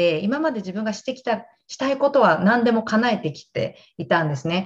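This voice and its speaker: Speaking at a moderate pace, a woman with a medium pitch and a somewhat breathy voice lets her pitch swing very widely over a quiet background. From Japan, Gunma. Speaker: fitness instructor. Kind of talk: casual chat.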